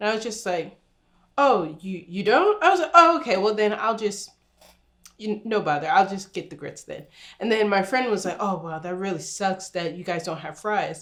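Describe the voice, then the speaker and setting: With an animated tone and lively intonation, a woman talks at a moderate pace in a medium pitch. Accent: American. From New Jersey. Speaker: YouTuber. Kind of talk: casual chat.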